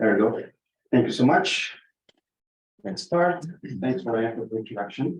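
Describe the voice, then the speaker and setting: Somewhat breathy speech with long, frequent pauses, a fairly slow pace, lively intonation and audible room echo. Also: man, medium pitch for a man. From Brazil. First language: Portuguese. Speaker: water researcher and presenter. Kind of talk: conference presentation.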